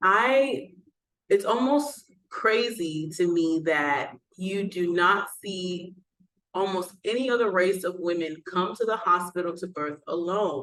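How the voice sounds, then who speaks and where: A woman with an American accent at a very slow pace, lively intonation and long, frequent pauses. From Texas, Houston. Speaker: doula and nurse. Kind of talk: educational vlog talk. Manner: casual, with frequent fillers.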